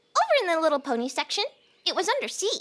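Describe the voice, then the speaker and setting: This put-on character voice sounds squeaky, with very wide pitch swings. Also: female-sounding voice. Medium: audio drama.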